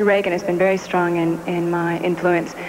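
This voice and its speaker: There is noticeable background noise behind this woman. She speaks with an American accent at a fairly quick pace. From USA. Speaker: beauty pageant titleholder. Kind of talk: interview.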